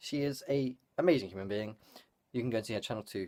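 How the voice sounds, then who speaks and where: A man talks with a British accent. His pitch variation is ordinary. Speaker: vlogger. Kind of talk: vlog. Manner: fast; casual, filler-heavy.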